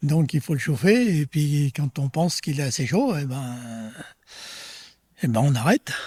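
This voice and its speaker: A man with a fairly high pitch speaks with lively intonation and a somewhat breathy tone, leaving long, frequent pauses, in a very clean recording with a silent background and a dry, close sound with no echo. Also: fairly slow pace. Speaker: retired farmer. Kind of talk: interview testimony.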